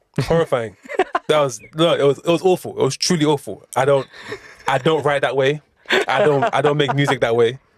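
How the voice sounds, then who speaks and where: Speaking at a fairly quick pace, a man with a London accent has a fairly high pitch. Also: ordinary pitch variation, dry, close sound with no echo. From South East London (Erith). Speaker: rapper. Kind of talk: casual podcast interview. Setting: studio.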